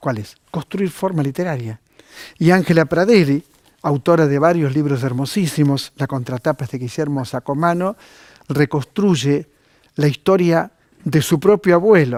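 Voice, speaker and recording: Speaking at a fairly slow pace, a man with a fairly high pitch and a plain, everyday voice uses ordinary pitch variation, recorded dry and close with no echo, very clean, with a silent background. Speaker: TV cultural program host. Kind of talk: TV book recommendation segment.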